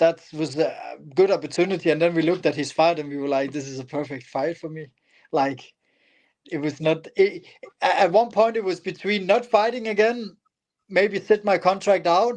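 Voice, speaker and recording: Speaking with a non-native accent, a man uses a high pitch. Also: ordinary pitch variation, moderate pace. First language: not English. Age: 30s. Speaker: MMA fighter. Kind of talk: interview.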